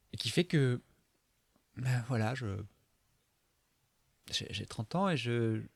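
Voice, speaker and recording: Recorded with a dry, close sound and no echo, a man speaks at a very slow pace with ordinary pitch variation. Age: 30s. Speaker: video diarist. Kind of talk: personal confessional monologue. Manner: halting, many hesitations.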